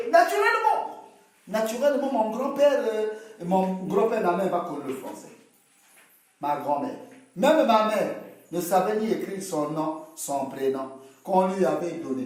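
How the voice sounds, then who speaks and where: A man's high voice at a fairly slow pace, animated and with very wide pitch swings, broken by long, frequent pauses, with audible room echo. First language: local Congolese language (speaking French). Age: 40s. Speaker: interviewee. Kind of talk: casual debate.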